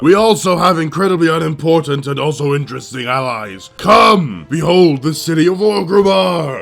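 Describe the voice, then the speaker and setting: Putting on a character voice, a man with a fairly high pitch speaks at a moderate pace with hardly any pauses as faint music plays in the background. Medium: comedy sketch. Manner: loud, enthusiastic, proclaiming.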